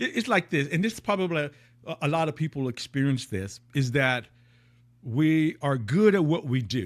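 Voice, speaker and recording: In a very clean recording with a silent background, a man with an unremarkable speaking voice talks at a moderate pace and a fairly high pitch, using lively intonation. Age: 60s. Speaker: high-performance coach. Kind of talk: podcast interview. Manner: repetitive false starts.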